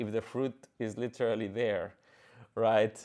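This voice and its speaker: A man with a Spanish accent speaks against a quiet background. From Mexico, Monterrey. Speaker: orchestra conductor and pianist. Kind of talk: podcast monologue. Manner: halting, many fillers.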